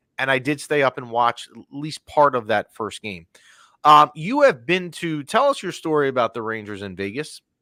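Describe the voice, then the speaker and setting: A man's fairly high, bright, sharp voice with lively intonation, big swings in loudness and a moderate pace, dry and close with no echo, in a very clean recording against a silent background. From US East Coast. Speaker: podcast host. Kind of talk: casual chat. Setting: studio.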